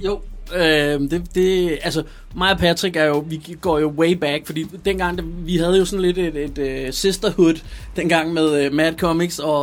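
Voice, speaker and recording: The speaker is a man with an unremarkable speaking voice and a fairly high pitch. He goes at a fairly slow pace with fairly even intonation. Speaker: rapper and producer. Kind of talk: interview.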